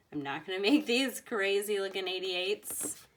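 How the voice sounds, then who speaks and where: The woman's delivery has a moderate pace. Her intonation is lively. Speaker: art teacher. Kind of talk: tutorial. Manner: casual, hesitant.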